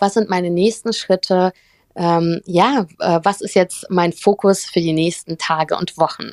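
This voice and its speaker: Fairly even intonation and a fairly slow pace come through on a very clean recording with a silent background and a dry, close sound with no echo. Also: woman, medium pitch for a woman. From Germany (Cologne), born in St. Petersburg. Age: 20s. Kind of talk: casual interview. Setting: live audio room. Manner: warm and bright.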